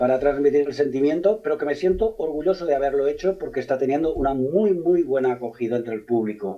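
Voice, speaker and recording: With a Catalan accent, a man talks very fast in a fairly high pitch, with hardly any pauses. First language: Catalan (speaking Spanish). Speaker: novelist, former police officer. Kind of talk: radio interview. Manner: halting, frequent repetitions.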